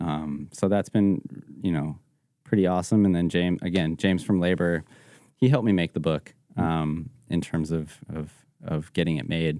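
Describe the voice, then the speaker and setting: A man with an American accent speaks at a moderate pace in a very deep, low voice with a dark, mellow tone and fairly even intonation, on a very clean recording with a silent background. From Colorado, Evergreen near Denver. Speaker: photographer and designer. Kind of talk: casual interview chat. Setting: studio.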